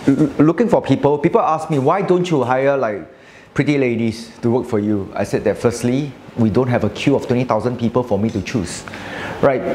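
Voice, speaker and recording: Light background noise behind a male speaker. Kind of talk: interview answer. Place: cafe.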